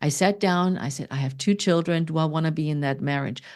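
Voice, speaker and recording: In a quiet background, a woman speaks with a very deep, low pitch, a dark, mellow tone and ordinary pitch variation. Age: 60s. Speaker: fitness coach and podcaster. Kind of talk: interview.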